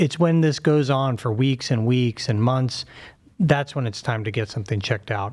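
This man's voice carries some breathiness. He talks fairly quickly. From Pittsburgh, US. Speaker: surgeon and professor. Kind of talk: medical explanation in interview.

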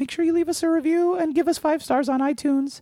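A squeaky, high-pitched, put-on character voice rattles along at a very fast pace. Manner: cartoonish.

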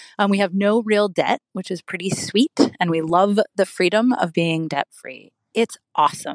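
In a dry, close sound with no echo, a woman with an ordinary speaking voice talks at a moderate pace, medium in pitch with ordinary pitch variation. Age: 40s. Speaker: caller. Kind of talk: recorded voicemail question.

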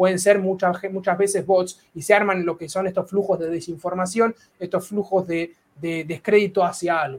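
His intonation is fairly even, with a high pitch. A man with an Argentine accent speaks at a moderate pace. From Argentina. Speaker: data scientist and physicist. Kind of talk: casual interview chat.

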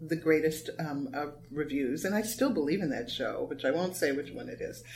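Audible room echo carries the voice of a woman speaking with a Californian accent. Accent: General American, Californian. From US West Coast, Los Angeles. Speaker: playwright and former dancer. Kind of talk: interview conversation. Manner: hesitant, many fillers.

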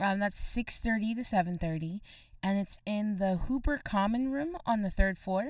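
On a very clean recording with a silent background, a woman speaks in a normal speaking voice at a moderate pace, with a medium pitch and lively intonation. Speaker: radio co-host. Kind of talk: casual radio show chat.

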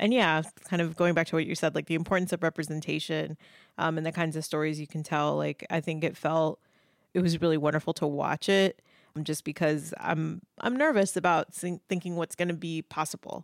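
In an ordinary speaking voice with an American accent, the speaker moves at a fairly quick pace with fairly even intonation. The recording is very clean with a silent background, and the sound is dry and close with no echo. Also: woman, fairly low pitch for a woman. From Indianapolis, Indiana. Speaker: professor of media studies. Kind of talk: casual chat.

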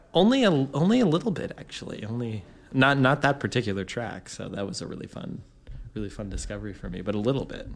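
A man of medium pitch talks at a very fast pace with lively intonation and big swings in loudness. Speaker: guest. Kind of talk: casual chat, guest talking music. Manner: relaxed, fast, rambling.

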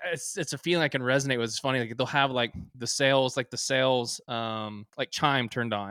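In a Texan accent, a man talks at a moderate pace and medium pitch on a very clean recording with a silent background, the sound dry and close with no echo. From Texas, small town north of Dallas. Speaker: geologist and clothing company co-founder. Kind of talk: casual interview chat.

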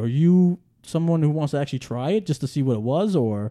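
A man with a New York accent speaks very fast with lively intonation, a fairly high pitch and a dark, mellow tone. The sound is dry and close, with no echo. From New York City, Staten Island. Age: 30s. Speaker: podcast host. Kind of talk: casual chat.

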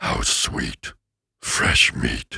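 A man puts on a raspy character voice. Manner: menacing, gloating.

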